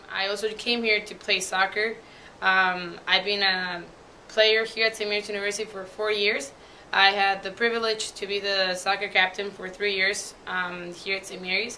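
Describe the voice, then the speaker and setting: Speaking in a Mexican accent, a woman holds a medium pitch and a moderate pace with monotone, flat intonation. Her loudness swings widely, and noticeable background noise is present. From Mexico, Puebla. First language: Spanish. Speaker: university student. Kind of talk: testimony. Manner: casual, filler-heavy.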